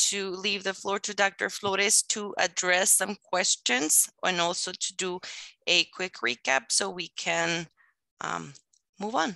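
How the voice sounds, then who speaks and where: At a fairly slow pace, a woman speaks with medium pitch and vocal fry, recorded with a dry, close sound with no echo. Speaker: webinar presenter. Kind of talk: webinar presentation.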